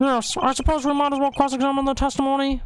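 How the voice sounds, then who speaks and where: In a put-on character voice, the speaker rattles along very fast at a high pitch with monotone, flat intonation over clear background noise. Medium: game stream. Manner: hesitant, stammering.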